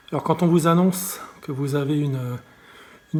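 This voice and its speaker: Fairly slow and somewhat breathy, a man speaks with a fairly high pitch. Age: 60s. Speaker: patient advocate. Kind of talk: testimony. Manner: halting, many repetitions and fillers.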